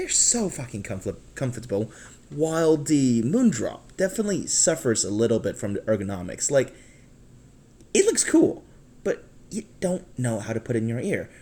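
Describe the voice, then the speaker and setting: Somewhat breathy, a man speaks at a medium pitch with very wide pitch swings. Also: moderate pace. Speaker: earphone reviewer. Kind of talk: casual talk to camera.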